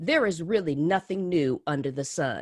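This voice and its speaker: In an American accent, a woman talks at a moderate pace with a fairly low pitch and an animated tone. The recording is very clean with a silent background and a dry, close sound with no echo. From US Midwest, Columbus, Ohio. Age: 50s. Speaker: business consultant, speaker. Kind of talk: motivational presentation.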